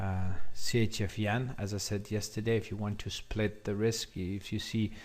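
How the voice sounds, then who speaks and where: A somewhat breathy man talks at a moderate pace in a fairly low pitch with monotone, flat intonation. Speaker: forex trading educator. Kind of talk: market analysis tutorial. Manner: hesitant, many fillers.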